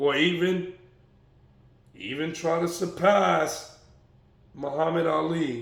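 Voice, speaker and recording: Very slow talk with long, frequent pauses, ordinary pitch variation and audible room echo. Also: man, high pitch for a man. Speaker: boxing commentator. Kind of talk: casual vlog commentary.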